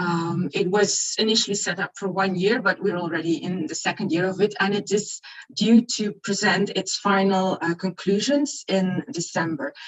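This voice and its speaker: A woman speaks at a medium pitch with ordinary pitch variation and a moderate pace. She hardly pauses at all, and there is noticeable background noise. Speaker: equality body representative. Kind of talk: conference presentation.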